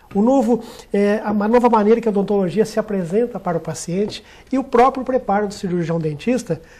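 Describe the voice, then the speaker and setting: In a Minas Gerais accent, a man speaks at a moderate pace with a dark, mellow tone and ordinary pitch variation. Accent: mineiro. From Minas Gerais, Brazil. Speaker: dentist, union director. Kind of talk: TV talk show interview. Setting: TV studio, live. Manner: formal, eloquent.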